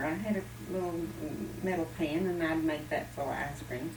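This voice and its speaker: Over noticeable background noise, a woman speaks with an Appalachian accent. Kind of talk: oral history storytelling.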